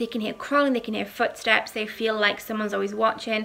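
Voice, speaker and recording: A woman speaks very fast in a British accent, her fairly high voice bright and sharp in tone. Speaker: paranormal YouTuber. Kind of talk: casual storytelling monologue. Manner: casual, many filler ums.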